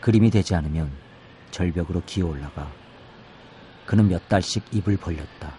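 At a moderate pace, a man with a very deep, low voice speaks in a dark, mellow, somewhat breathy tone, with ordinary pitch variation and long, frequent pauses. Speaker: poet. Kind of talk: poetry reading. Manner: halting, many fillers.

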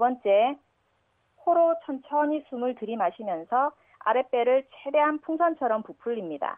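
With big swings in loudness, a woman at a high pitch speaks with lively intonation. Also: fairly slow pace. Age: 30s. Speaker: radio listener. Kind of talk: recorded listener tip with exercise instructions.

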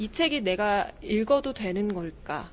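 A woman with an unremarkable speaking voice talks at a fairly slow pace and medium pitch, with lively intonation. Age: 20s. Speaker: aspiring news announcer and stage MC. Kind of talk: book recommendation.

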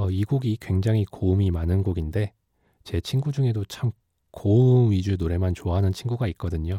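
A man's somewhat breathy, dark, mellow voice at a fairly low pitch and moderate pace, in a very clean recording with a silent background. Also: dry, close sound with no echo. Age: 20s. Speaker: guest radio DJ, job seeker and engineering graduate. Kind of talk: radio DJ hosting. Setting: radio studio booth.

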